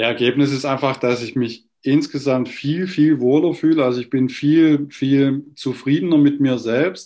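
A man's fairly high-pitched voice with a dark, mellow tone, fairly even intonation and a fairly slow pace, with hardly any pauses. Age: 50s. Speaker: lawyer, coaching client. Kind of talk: testimonial interview.

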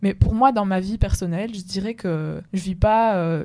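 A woman with an unremarkable speaking voice and a medium pitch. Her intonation is fairly even, and she speaks at a moderate pace. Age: 20s. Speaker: podcast co-host. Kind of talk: casual discussion.

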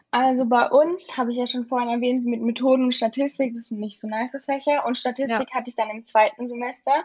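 Talking very fast with hardly any pauses, a woman with high pitch keeps a fairly even intonation while her loudness swings widely. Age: young. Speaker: university student. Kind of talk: casual interview.

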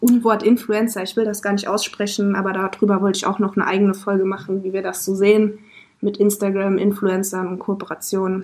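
A woman talks fairly quickly at a medium pitch. Her intonation stays flat and monotone. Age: 20s. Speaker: podcast co-host and social media manager. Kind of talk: casual chat. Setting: in a van.

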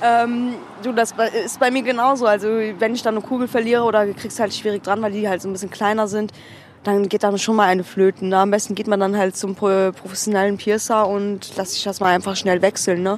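A woman speaks at a fairly quick pace and a medium pitch. Her intonation stays monotone and flat. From Cologne, Germany. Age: 20s. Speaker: alternative model. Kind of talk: casual interview chat. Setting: outdoors on a curb, with beer.

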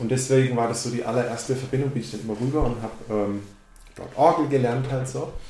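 A man talks at a very fast pace with fairly even intonation, and the recording has audible room echo and noticeable background noise. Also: medium pitch for a man. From Baden, near Karlsruhe, Germany. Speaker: drummer. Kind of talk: casual interview chat.

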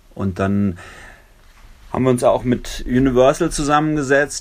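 The man talks at a fairly quick pace. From southern Germany (Lörrach, Baden). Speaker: musician. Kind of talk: interview. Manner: hesitant, many filler sounds.

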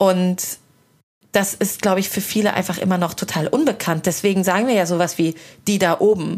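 A woman's normal speaking voice at a medium pitch, with a fairly quick pace and ordinary pitch variation. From Hesse, Germany. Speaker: podcast host and culture journalist. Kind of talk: casual interview over a meal. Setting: at a dining table, eating.

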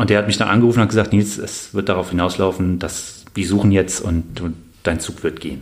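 Moving at a fairly quick pace, a man with a very deep, low pitch keeps his intonation fairly even. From Bonn, Rhineland, western Germany. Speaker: army officer, paratrooper, Afghanistan veteran. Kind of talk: interview, personal testimony. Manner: halting, many fillers and repeated words.

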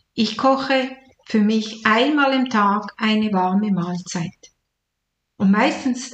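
Somewhat breathy, a woman's fairly high voice moves with ordinary pitch variation. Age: 60s. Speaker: retired nurse and life coach. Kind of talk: podcast monologue.

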